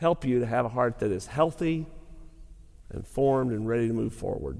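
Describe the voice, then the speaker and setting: A man with a Southern US accent speaks at medium pitch in a dark, mellow tone, with ordinary pitch variation and audible room echo. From Arkansas (Lake City). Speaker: pastor. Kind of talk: sermon; Q&A session. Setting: college chapel with audience.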